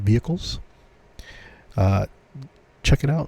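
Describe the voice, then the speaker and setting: A dark, mellow, somewhat breathy voice comes through with a dry, close sound and no echo. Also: man. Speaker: podcast host. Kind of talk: casual solo podcast. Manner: hesitant, many fillers.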